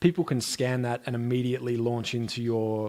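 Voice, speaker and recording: This man's intonation stays fairly even as he talks in an Australian accent. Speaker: music streaming expert and musician. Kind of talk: interview.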